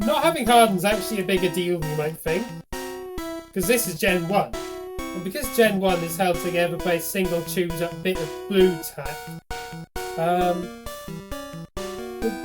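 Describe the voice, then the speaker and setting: Music plays in the background. The speech has long, frequent pauses. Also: moderate pace. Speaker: gaming video creator. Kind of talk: casual gameplay commentary. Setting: webcam microphone.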